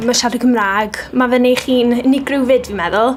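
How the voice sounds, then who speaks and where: Over noticeable background noise and audible room echo, a woman talks in a flat, monotone way. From Wales, Aberystwyth area. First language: Welsh. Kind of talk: interview testimony.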